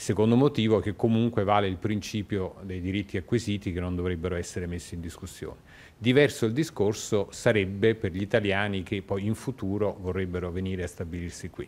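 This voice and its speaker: A man talks at a fairly low pitch with ordinary pitch variation. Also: fairly quick pace. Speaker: foreign correspondent. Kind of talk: live news report. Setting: outdoors. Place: office. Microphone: handheld.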